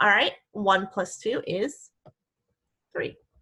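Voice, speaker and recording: A woman speaks with a Midwestern accent. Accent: Midwest. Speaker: elementary school teacher. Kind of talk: tutorial. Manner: slow, clear teacher talk.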